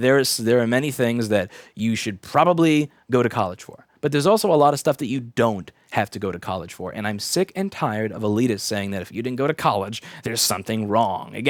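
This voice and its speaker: At a fairly quick pace, a man with a New York accent and a medium pitch speaks with lively intonation on a very clean recording with a silent background. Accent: Staten Island New York. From Staten Island, New York. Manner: irritated, rant.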